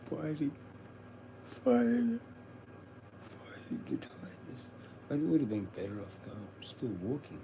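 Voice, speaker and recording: Over noticeable background noise, a man speaks at a fairly slow pace with long, frequent pauses, big swings in loudness, and ordinary pitch variation. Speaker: livestreamer. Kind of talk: casual livestream chat. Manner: low, mumbling at times; up and down in volume. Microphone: sometimes too quiet.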